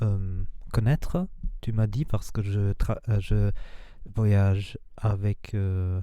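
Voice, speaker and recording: A man's fairly low, dark and mellow voice at a very slow pace, fairly even in intonation, with long, frequent pauses. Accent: non-native. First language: not French (speaking French). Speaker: spiritual and manifestation coach. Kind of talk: casual vlog monologue. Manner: halting, many hesitations.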